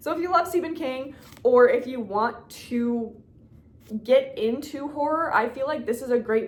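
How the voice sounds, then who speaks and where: Amid noticeable background noise, a woman talks in an animated tone at a moderate pace, with ordinary pitch variation. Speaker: book YouTuber. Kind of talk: casual chat.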